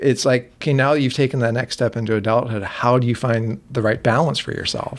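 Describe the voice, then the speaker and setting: A normal speaking voice at a fairly quick pace, with fairly even intonation and hardly any pauses. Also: man, medium pitch for a man. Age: 40s. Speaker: film discussion group organizer. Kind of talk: casual chat.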